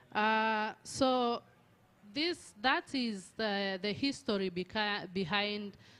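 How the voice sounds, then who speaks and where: A woman speaks at a medium pitch. She has a Tanzanian accent. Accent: Tanzanian (Maasai) English. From Tanzania, Maasai. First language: Maasai. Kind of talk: panel presentation.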